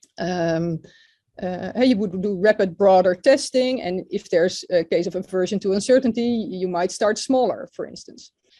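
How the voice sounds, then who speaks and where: With a dark, mellow tone and medium pitch, a woman speaks at a moderate pace with ordinary pitch variation and big swings in loudness. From Netherlands. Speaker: physician. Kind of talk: webinar presentation. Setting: online webinar. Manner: halting, many fillers.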